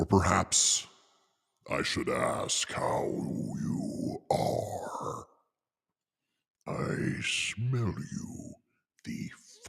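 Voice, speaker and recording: A man puts on a raspy character voice, speaking at a very slow pace with long, frequent pauses. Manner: menacing, sniffing out a thief.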